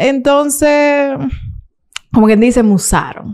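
Against a quiet background, a woman with a Dominican accent speaks in a dark, mellow tone with lively intonation. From Santo Domingo, Dominican Republic; Dominican Republic. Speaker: YouTuber; interview guest, content creator. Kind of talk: interview. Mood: candid, somewhat aggrieved at times. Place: studio. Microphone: studio mic.

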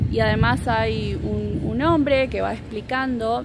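A woman speaks with an Argentinian accent. The sound is dry with no echo, and music plays in the background. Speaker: Spanish teacher. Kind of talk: casual travel vlog to camera. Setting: outdoors, background noise. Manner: slow and clear, improvised. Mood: relaxed, friendly. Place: open country. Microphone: phone near.

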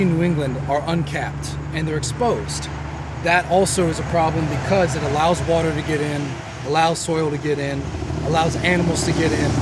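A man with an American accent speaks at a fairly quick pace. The sound is dry with no echo, though loud background noise is present. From Texas. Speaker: stonemason. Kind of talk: tutorial. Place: open country.

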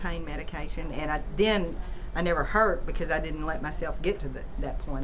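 A woman talks at a moderate pace against noticeable background noise. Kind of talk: interview answer. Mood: calm, matter-of-fact. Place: studio.

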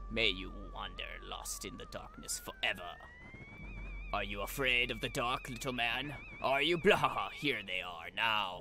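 Over clear background music, a man cackles in a put-on character voice at a moderate pace. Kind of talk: spooky comic villain voices. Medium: game stream. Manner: gloating, mocking, cackling.

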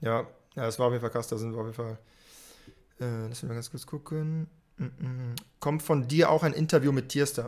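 A man speaks at a fairly quick pace. His tone is slightly mellow. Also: medium pitch for a man, fairly even intonation.

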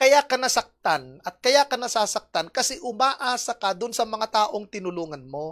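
A woman talks with very wide swings in pitch and hardly any pauses. The background is quiet. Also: fairly high pitch for a woman, moderate pace. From Philippines. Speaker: preacher. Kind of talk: sermon, Bible teaching. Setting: online church service video. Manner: earnest, explanatory, teacherly. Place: stage. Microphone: handheld.

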